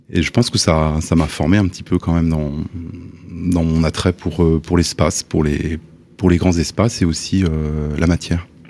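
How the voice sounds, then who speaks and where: A man speaks with a very deep, low pitch and a dark, mellow tone. His intonation is fairly even and his pace moderate. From Le Havre, Normandy, France. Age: 60s. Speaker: architect. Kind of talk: interview. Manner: halting.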